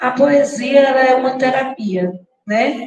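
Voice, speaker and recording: Speaking in a northeastern Brazilian accent, a woman uses a high pitch with ordinary pitch variation. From Brazil, Paraíba sertão (Patos). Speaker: poet and teacher. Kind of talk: literary panel discussion.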